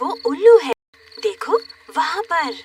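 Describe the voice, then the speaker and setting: A female-sounding voice puts on a character voice at an extremely high pitch. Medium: fan dub. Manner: calm, gentle.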